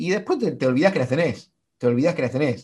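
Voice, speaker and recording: An ordinary speaking voice from a man at medium pitch, with lively intonation. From Argentina, small town in Santa Fe province. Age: 40s. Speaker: marathon runner and sports communicator. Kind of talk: casual interview chat.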